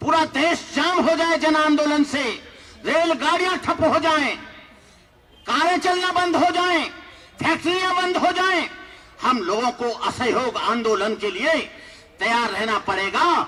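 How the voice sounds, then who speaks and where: The voice is raised and projected, with lively intonation and long, frequent pauses. Noticeable background noise runs underneath. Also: man, extremely high pitch for a man. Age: 60s. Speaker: Buddhist monk. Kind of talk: public speech. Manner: impassioned.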